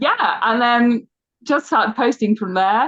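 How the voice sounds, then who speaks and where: With an English accent, a woman speaks fairly slowly at a fairly high pitch, her intonation lively and the sound dry and close with no echo. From England. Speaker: archaeologist and podcast guest host. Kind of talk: casual chat.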